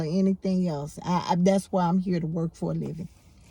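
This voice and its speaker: Over noticeable background noise, a woman speaks in an animated tone. Her pace is moderate and her pitch variation ordinary. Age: 60s. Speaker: YouTube commentator. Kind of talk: casual monologue. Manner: halting, repeats words.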